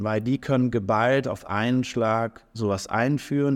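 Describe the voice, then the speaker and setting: Fairly even intonation carries speech that proceeds at a moderate pace. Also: man. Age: 30s. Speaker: startup founder and CEO. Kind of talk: interview. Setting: recorded on site at an industry event. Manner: hesitant, many filler sounds.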